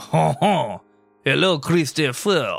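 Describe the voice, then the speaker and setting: A man's raspy, put-on character voice with a French accent, fairly high in pitch, over music in the background. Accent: French, slight caricature. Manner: mock-formal greeting.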